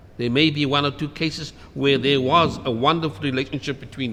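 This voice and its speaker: A man speaks at a fairly high pitch and a moderate pace. Noticeable background noise runs underneath. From South Africa, Cape Town (District Six). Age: 70s. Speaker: former resident. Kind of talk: interview testimony.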